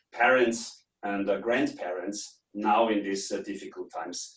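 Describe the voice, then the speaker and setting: A man with a German accent at a moderate pace, with ordinary pitch variation. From Austria. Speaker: business trainer and consultant. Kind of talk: webinar lecture. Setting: online webinar from home office.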